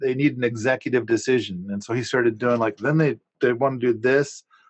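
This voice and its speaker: A man talks at a moderate pace with a medium pitch and fairly even intonation. The sound is dry and close, with no echo. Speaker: permaculture podcaster and land owner. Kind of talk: casual chat. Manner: loud; halting, repetitive starts.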